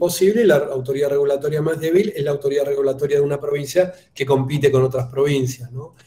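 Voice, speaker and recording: A somewhat breathy voice with a dark, mellow tone speaks in a Buenos Aires accent at a fairly quick pace. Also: man. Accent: porteño Buenos Aires. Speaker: political scientist and national government official. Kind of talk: conference Q&A answer. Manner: hesitant, many fillers (eh, este).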